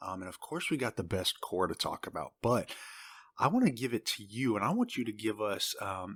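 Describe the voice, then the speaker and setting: In a Southern US accent, a man with a medium pitch speaks with a dry, close sound and no echo, on a very clean recording with a silent background. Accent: southern drawl. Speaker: podcast co-host. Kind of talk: casual chat. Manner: animated. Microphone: new mic.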